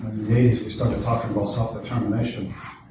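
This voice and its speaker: Amid noticeable background noise and audible room echo, a man talks at a very fast pace with monotone, flat intonation. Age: 60s. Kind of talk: public talk. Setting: stage with audience. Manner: conversational.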